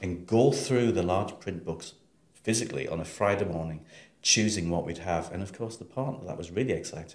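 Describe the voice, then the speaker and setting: With a northeast English accent, a man speaks at a fairly quick pace and fairly low pitch, somewhat breathy, with ordinary pitch variation and audible room echo. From northeast England, Sunderland. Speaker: library director. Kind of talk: interview.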